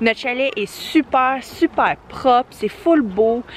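Over light background noise, a woman talks at a very slow pace with ordinary pitch variation in a dry sound with no echo. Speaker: family vlogger. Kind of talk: casual vlog chat. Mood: enthusiastic, happy. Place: forest. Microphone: phone near.

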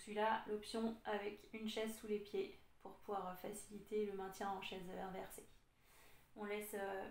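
A woman speaks in a monotone, flat intonation. Audible room echo surrounds her voice. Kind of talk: exercise class instruction. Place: home room. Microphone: camera far.

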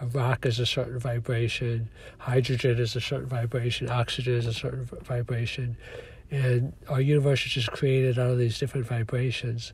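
A somewhat breathy man at medium pitch, monotone and flat in intonation, at a fairly quick pace. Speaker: podcaster and author. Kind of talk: monologue podcast. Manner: reflective, hesitant with fillers.

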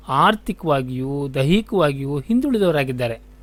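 Very wide pitch swings mark a man's voice on a very clean recording with a silent background. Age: 60s. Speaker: community radio presenter. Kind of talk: scripted radio dialogue.

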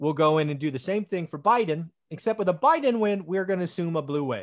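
The background is quiet. A man speaks very fast. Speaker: channel host. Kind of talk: podcast discussion intro. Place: home room.

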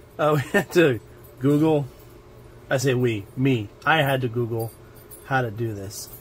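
Over light background noise, a man speaks with ordinary pitch variation. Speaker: miniature-painting hobby video creator. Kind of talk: unboxing and build tutorial. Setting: home hobby desk with camera setup. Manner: casual, chatty and self-joking. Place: home room.

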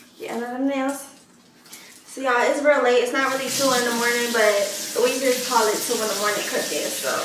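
Amid noticeable background noise and audible room echo, a woman with a high pitch talks at a fairly quick pace with fairly even intonation. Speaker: home cook vlogger. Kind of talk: casual vlog chat. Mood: playful, relaxed. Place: kitchen. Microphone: camera far.

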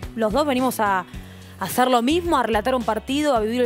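Someone with an Argentine accent speaks while faint music plays in the background. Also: woman. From Argentina. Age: young. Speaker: football commentator. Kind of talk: interview answer. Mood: earnest, slightly troubled. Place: studio. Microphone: headset.

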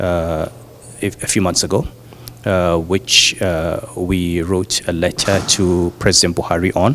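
Over light background noise, a man with a very deep, low voice speaks at a fairly slow pace with fairly even intonation. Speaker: interviewee. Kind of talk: interview answer. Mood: calm, pleased. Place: hall. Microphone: handheld.

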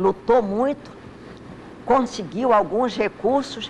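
A very slow pace with ordinary pitch variation. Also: woman. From Amazonas, Brazil (Manacapuru, Coari, Manaus). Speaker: lawyer. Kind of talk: interview. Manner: halting.

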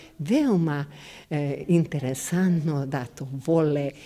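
A woman's very deep, low voice at a very slow pace, fairly even in intonation, over light background noise. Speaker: kindergarten teacher. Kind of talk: casual interview. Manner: halting, hesitant. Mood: warm, smiling, fond. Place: hall. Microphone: handheld.

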